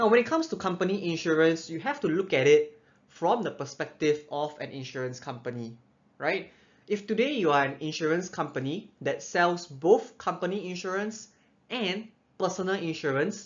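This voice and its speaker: The man's voice sits high. He goes at a moderate pace. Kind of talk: explainer presentation. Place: home room.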